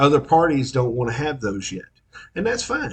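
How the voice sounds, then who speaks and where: This man has an East Texas accent and lively intonation. His voice is somewhat breathy. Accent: East Texas drawl. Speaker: local interviewer and commentator. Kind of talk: monologue. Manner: casual, halting with fillers.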